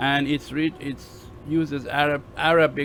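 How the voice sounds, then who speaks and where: A man with a Persian accent, fairly high-pitched for a man, at a fairly slow pace over light background noise. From Iran. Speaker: university lecturer. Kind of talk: lecture. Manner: halting, many fillers.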